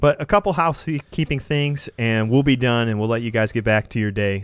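A man with an American accent has a normal speaking voice at a medium pitch with ordinary pitch variation. He talks at a moderate pace on a very clean recording with a silent background. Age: 20s. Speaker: podcast host. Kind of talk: casual chat; show announcements.

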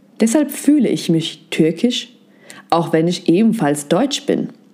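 A woman's medium-pitched voice, dark and mellow in tone, with very wide pitch swings and a fairly slow pace. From Germany. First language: Turkish (speaking German). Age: 20s. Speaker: psychology content creator, educator. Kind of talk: scripted narration.

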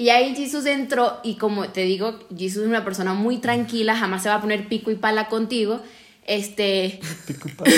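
Noticeable background noise sits behind a woman speaking at a moderate pace. Her pitch is fairly high, with ordinary variation. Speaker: podcast co-host. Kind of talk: casual chat.

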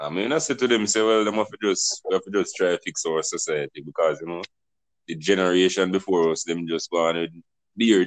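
A man speaks with a Jamaican accent at a fairly quick pace, his pitch fairly low. The sound is dry and close with no echo, and his pitch varies in an ordinary way. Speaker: podcast host. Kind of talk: casual discussion.

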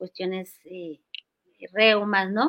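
A woman talks at a medium pitch with a bright, sharp tone and fairly even intonation. The sound is dry and close, with no echo. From Colombia, Cali. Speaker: aromatherapy school founder. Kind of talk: interview.

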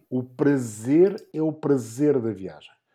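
With ordinary pitch variation and a dark, mellow tone, a man is heard in a very clean recording with a silent background. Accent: European Portuguese. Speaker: motorsport commentator. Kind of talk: casual chat.

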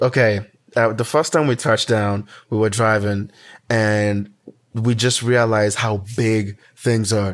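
A man talks at a fairly slow pace with a fairly low pitch. His intonation is monotone and flat. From Kenya (Nairobi). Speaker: podcast co-host. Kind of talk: casual chat.

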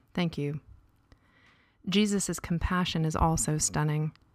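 Pitched fairly low, a woman speaks at a fairly slow pace. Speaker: prayer guide. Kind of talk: fervent prayer; guided prayer with scripture reading. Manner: animated, overflowing with emotion; earnest, awestruck, breathless with praise.

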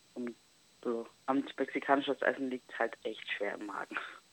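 A woman's voice shows vocal fry, recorded with a dry, close sound and no echo. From Germany, Italian roots. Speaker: travel influencer. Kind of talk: casual chat. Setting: phone call.

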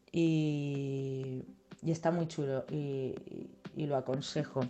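A woman's voice comes through with music playing in the background. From Spain, Ciudad Real (La Mancha). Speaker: DJ and music producer. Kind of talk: interview. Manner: hesitant, many fillers.

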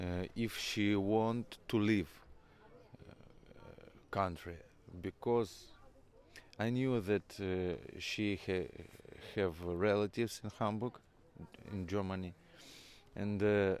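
At a very slow pace, a man with a fairly low pitch and ordinary pitch variation speaks with long, frequent pauses. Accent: Ukrainian. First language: Ukrainian. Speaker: musician. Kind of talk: interview. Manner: halting, many hesitations.

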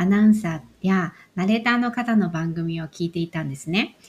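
On a very clean recording with a silent background, a woman speaks at a moderate pace and medium pitch, somewhat breathy, with ordinary pitch variation. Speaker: podcast host. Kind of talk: scripted narration.

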